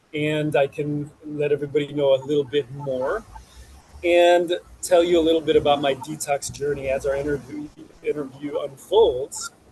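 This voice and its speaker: A man with an American accent speaks at a moderate pace in a fairly high, monotone, flat voice over noticeable background noise. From US Midwest, Chicago. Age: 40s. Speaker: detox practitioner. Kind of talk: interview. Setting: outdoors on a rooftop garden.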